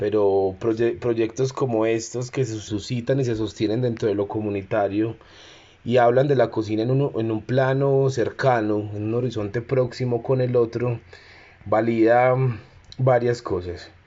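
A man with an Antioquian accent, medium pitch, monotone and flat intonation, and a fairly slow pace. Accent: Colombian paisa (Antioquia). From Medellín, Colombia. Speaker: cook and community organizer. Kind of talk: personal testimony and talk. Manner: halting, with fillers.

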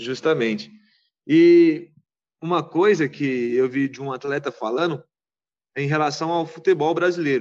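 A man at a fairly high pitch and fairly slow pace, with ordinary pitch variation, big swings in loudness and long, frequent pauses, against a quiet background. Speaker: football fan guest. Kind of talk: casual chat.

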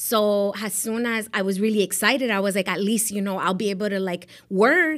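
A woman with an American accent speaks at a moderate pace in a medium pitch with ordinary pitch variation, and the recording is very clean with a silent background. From South Florida (Miami). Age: 40s. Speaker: real estate agent. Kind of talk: interview.

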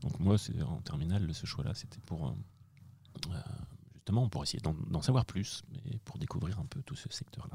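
A man's very deep, low voice has a dark, mellow tone and vocal fry, with very wide pitch swings. He keeps a moderate pace broken by long, frequent pauses. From France, Angers. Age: 40s. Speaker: director of studies at a business school. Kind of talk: interview. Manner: hesitant, many repetitions.

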